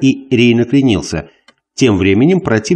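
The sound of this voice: Lively intonation in an unforced reading voice, set over a quiet background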